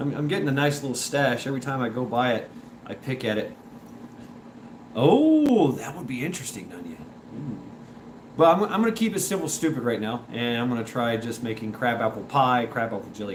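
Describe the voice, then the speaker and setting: A man with a medium-pitched voice talks at a fairly quick pace, with lively intonation and an animated tone. Noticeable background noise and audible room echo fill the recording. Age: 40s. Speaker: livestream host. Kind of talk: casual chat. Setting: live stream.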